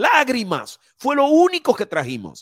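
The recording has a dry, close sound with no echo. A man talks at a fairly slow pace. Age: 50s. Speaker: preacher. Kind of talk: sermon.

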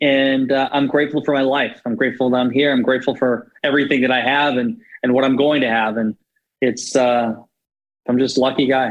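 Keeping his loudness very even, a man speaks at a fairly quick pace and a medium pitch. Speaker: video producer and speaker. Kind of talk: podcast interview, storytelling. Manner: animated, motivational.

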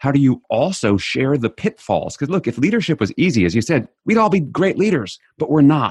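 In a dry, close recording with no echo and a quiet background, a man speaks at a moderate pace with a fairly high pitch, very wide pitch swings, and vocal fry. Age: 50s. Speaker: leadership author and trainer. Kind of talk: interview.

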